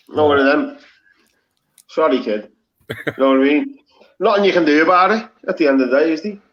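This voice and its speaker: A man with a Liverpool accent, fairly high pitch, lively intonation, a fairly quick pace, and long, frequent pauses. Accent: Scouse. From Liverpool, England. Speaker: live stream participant. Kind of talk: casual chat. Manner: animated.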